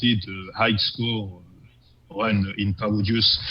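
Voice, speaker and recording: A man with a strong non-native accent, fairly low pitch and a very slow pace. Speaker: scoring run player presenting his videos. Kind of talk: commentary over gameplay video. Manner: halting, many fillers and restarts.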